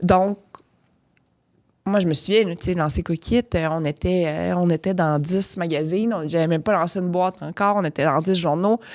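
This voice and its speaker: Recorded very cleanly with a silent background and a dry, close sound with no echo, a woman with an unremarkable speaking voice talks at medium pitch and a fairly quick pace with fairly even intonation. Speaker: podcast host and entrepreneur. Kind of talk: podcast interview. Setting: studio.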